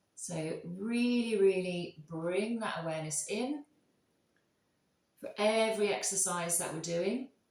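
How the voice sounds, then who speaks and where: A quiet woman speaks at a medium pitch and fairly slow pace in a calm, soothing, somewhat breathy voice. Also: ordinary pitch variation. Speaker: yoga instructor. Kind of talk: guided yoga class.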